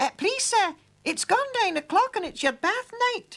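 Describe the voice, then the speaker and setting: In a squeaky, put-on character voice, the speaker goes at a moderate pace. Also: man, extremely high pitch for a man. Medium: read story. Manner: polite, deferential.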